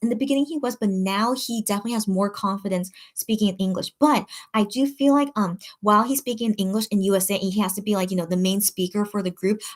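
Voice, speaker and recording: A somewhat breathy woman's voice at a medium pitch, very fast pace and ordinary pitch variation. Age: 30s. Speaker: K-pop merch shopper and livestreamer. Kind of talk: casual livestream chat reading comments. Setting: live stream. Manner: rambling with many fillers.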